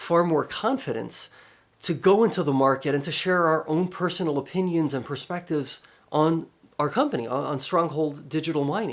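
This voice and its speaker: A man speaks at a fairly high pitch and a moderate pace. The recording is very clean, with a silent background. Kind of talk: casual talk to camera. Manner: earnest, persuasive, urgent.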